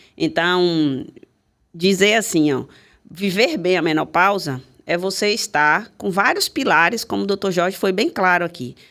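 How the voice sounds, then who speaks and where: A woman has an unremarkable speaking voice. She talks at a fairly slow pace with lively intonation. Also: medium pitch for a woman, very clean recording, silent background. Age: 60s. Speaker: pharmacist. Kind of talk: panel discussion.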